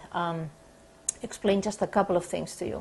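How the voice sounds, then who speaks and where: A woman speaks with a non-native accent. Her pitch is medium, with ordinary variation. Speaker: sports psychologist. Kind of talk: counseling session intake. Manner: hesitant, many fillers.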